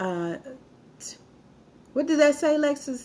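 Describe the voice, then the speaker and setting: A woman talks with an American accent. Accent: Alabama Southern accent slipping through. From Alabama, US South. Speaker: live-stream host, military veteran. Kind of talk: live-stream talk reading viewer comments. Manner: casual, with false starts and stumbles.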